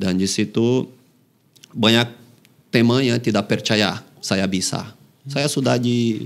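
A man's voice with ordinary pitch variation. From Brazil, Fortaleza. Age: 30s. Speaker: professional footballer. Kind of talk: casual interview. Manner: halting. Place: studio. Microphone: studio mic.

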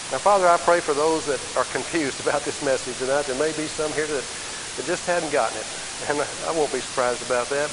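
Against noticeable background noise, a man talks at a fairly quick pace with fairly high pitch and fairly even intonation. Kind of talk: sermon. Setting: church. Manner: earnest, warm, exhortative preaching with direct appeals to the congregation.

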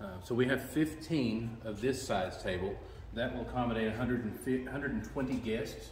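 At a moderate pace, a man speaks in a room with audible echo and light background noise. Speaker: venue host giving a tour. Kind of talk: tour guide explanation. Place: hall. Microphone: phone near.

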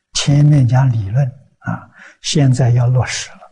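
A dark, mellow tone comes through in a somewhat breathy delivery. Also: man. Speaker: Buddhist monk teacher. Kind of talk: sermon. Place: studio. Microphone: lapel.

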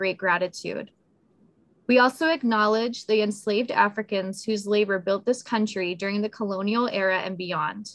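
Here a woman talks at a moderate pace. Her pitch variation is ordinary. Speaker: museum public programs manager and event moderator. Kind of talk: event moderation. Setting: video call. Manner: friendly, upbeat. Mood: solemn, respectful. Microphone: video call.

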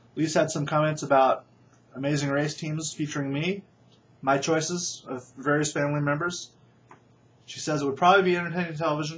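Against light background noise, a man talks at a fairly quick pace in a somewhat breathy voice. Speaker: vlogger. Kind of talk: casual vlog chat. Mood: wry, dry humor. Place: home room. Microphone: webcam.

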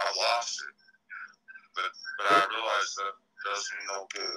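A man's voice with music in the background. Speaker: caller. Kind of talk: emotional phone conversation.

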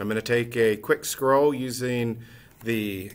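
With fairly even intonation, a man talks at a fairly slow pace. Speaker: teacher. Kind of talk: informal presentation and show-and-tell. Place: classroom. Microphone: webcam.

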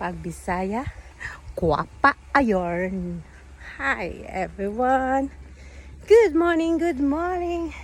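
Long, frequent pauses break up the woman's speech. Her pace is very slow. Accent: Philippine. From Philippines, Cagayan de Oro (Mindanao). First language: Cebuano (speaking Tagalog). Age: 50s. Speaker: vlogger. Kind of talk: casual vlog tips.

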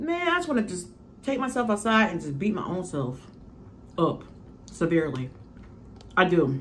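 Very wide pitch swings run through this moderate-paced speech, broken by long, frequent pauses over light background noise. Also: woman. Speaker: mukbang youtuber; mukbang vlogger. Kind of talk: casual chat. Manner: rambling. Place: home room. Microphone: phone near.

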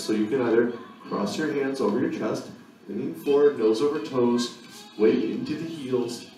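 Faint music in the background and audible room echo surround a man speaking at a fairly quick pace with ordinary pitch variation. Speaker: fitness instructor. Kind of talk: tutorial. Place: gym.

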